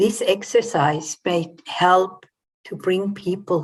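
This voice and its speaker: Her voice is somewhat breathy, and this woman uses ordinary pitch variation. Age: 60s. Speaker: coach and trauma therapist. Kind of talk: online talk.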